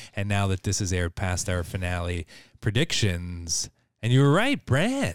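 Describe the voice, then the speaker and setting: A man with a plain, everyday voice, fairly low in pitch, talks at a moderate pace with ordinary pitch variation. The recording is very clean with a silent background and a dry, close sound with no echo. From Canada. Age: 30s. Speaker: movie podcast co-host. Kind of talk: casual chat.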